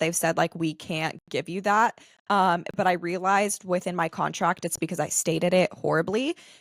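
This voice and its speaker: Dry and close with no echo, a woman's medium-pitched voice comes through at a moderate pace. The recording is very clean, with a silent background. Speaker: podcast host and UGC creator. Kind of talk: casual interview chat. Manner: monotone.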